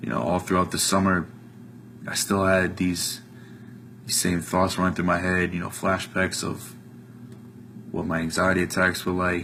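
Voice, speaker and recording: A man's very deep, low voice with an American accent, fairly even intonation and long, frequent pauses. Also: moderate pace. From US Northeast, New Jersey. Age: 20s. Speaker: college student giving a testimonial. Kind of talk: testimony. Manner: casual with many filler ums.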